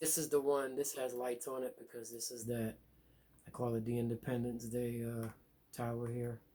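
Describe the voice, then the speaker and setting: A man mumbles at a fairly quick pace in a medium-pitched voice. His tone is dark and mellow, and his intonation is flat and monotone. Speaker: gaming video creator. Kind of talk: game walkthrough narration. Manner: casual, halting with fillers; mumbling.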